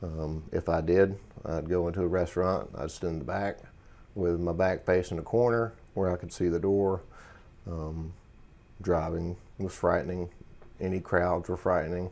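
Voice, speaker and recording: A man's very deep, low voice, fairly even in intonation, at a moderate pace with long, frequent pauses. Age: 30s. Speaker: military veteran, patient. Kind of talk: testimony. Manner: halting, with many fillers. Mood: calm, reflective, slightly subdued.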